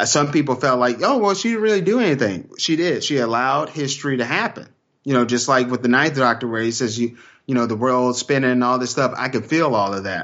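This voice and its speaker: A man with a Texan accent talks at a very fast pace. His pitch sits in the medium range with ordinary variation. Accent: Texan American English. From Texas. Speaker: podcaster. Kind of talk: casual chat.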